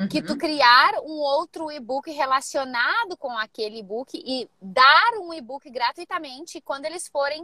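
With a raised, projected voice, a woman speaks at a high pitch and a fairly slow pace, her intonation lively. Her tone is bright and sharp, and the sound is dry and close with no echo. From Rio Grande do Sul, Brazil. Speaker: personal trainer. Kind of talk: live mentoring session. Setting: in a car.

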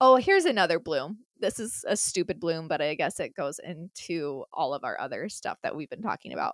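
A woman with an American accent talks at a fairly quick pace with hardly any pauses, in a dry, close sound with no echo on a very clean recording with a silent background. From Utah. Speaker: podcast co-host. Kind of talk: casual chat.

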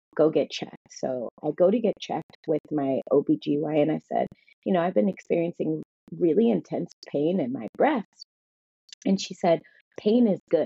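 Vocal fry runs through a woman's fairly low voice. Her intonation is lively. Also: moderate pace. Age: 30s. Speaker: fitness trainer and cancer survivor. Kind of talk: testimony.

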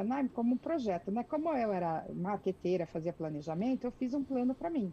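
Fairly high-pitched woman's voice in a Brazilian accent, dark and mellow in tone, with very wide pitch swings at a fairly quick pace. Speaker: executive secretary, immigrant. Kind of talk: interview. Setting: video call.

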